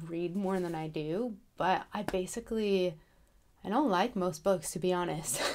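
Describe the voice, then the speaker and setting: Soft-spoken and medium-pitched, this woman is captured in a very clean recording with a silent background. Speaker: author and book vlogger. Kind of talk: casual vlog talk. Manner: hesitant, many fillers.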